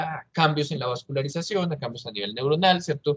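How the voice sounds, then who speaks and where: A man with a fairly high pitch is heard in a dry, close sound with no echo. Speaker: doctor, expert speaker on exercise physiology. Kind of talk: lecture. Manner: halting, many fillers.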